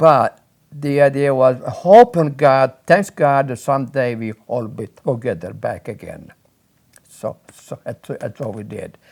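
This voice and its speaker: Using an Italian accent, a man talks at a fairly slow pace in a fairly high pitch, with ordinary pitch variation and big swings in loudness. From Sicily, Italy. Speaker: immigrant recounting life story. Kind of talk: oral history interview. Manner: halting, many repetitions and fillers.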